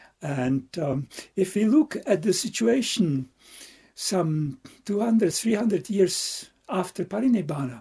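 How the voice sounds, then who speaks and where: A man with a Czech accent speaks fairly slowly in a high-pitched, dark and mellow voice that swings very widely in pitch. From Czechia. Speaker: Buddhist monk and meditation teacher. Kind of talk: dharma talk. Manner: halting, with repetitions.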